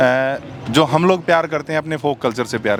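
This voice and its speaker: A man with a Haryanvi accent at a moderate pace, with noticeable background noise. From Haryana, India. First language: Haryanvi (speaking Hindi). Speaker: folk singer. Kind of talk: interview. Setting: backstage after a performance. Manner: hesitant, many filler sounds.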